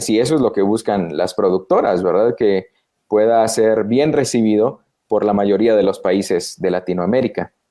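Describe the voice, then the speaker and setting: A fairly low-pitched man with a Guatemalan accent at a moderate pace, with ordinary pitch variation and very even loudness. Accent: Guatemalan Spanish, Central American. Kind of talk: professional, explanatory.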